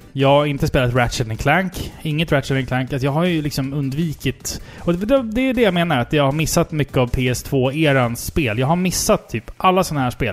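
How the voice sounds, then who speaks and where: With music playing behind him, a man with a fairly high voice talks at a moderate pace, with ordinary pitch variation and hardly any pauses. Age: 30s. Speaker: video game podcast co-host. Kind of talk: casual chat.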